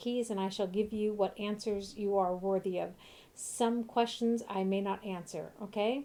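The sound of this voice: In an unforced reading voice, the intonation stays fairly even.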